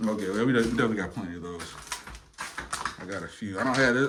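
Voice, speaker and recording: A man with an American accent and ordinary pitch variation, amid audible room echo and noticeable background noise. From Metro Detroit. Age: young. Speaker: documentary filmmaker. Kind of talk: casual chat.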